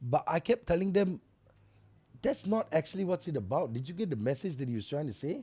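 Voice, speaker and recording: A man talks loudly and fairly quickly in a fairly high pitch. His dark, mellow tone rides very wide pitch swings. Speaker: music artist. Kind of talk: casual chat. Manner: fast.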